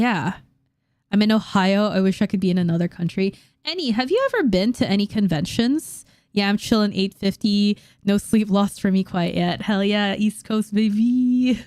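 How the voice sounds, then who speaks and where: A woman with an American accent speaks at a medium pitch and moderate pace, with an animated tone, ordinary pitch variation and very even loudness, on a very clean, dry, close recording with no echo and a silent background. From Philippines and New York. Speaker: YouTuber, anime and manga analyst. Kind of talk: livestream chat reading comments. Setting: livestream watch party.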